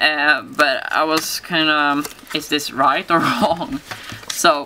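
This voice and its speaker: A woman's very deep, low-pitched voice is heard with noticeable background noise. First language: not English. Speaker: papercraft tutorial maker. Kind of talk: tutorial. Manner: halting, many fillers.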